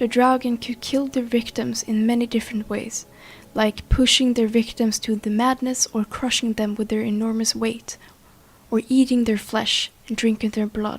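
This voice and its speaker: At a moderate pace, a woman with a non-native accent speaks at a fairly high pitch in a monotone, flat intonation. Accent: non-native, some mispronounced words. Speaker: scary story narrator. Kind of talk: folklore narration to camera.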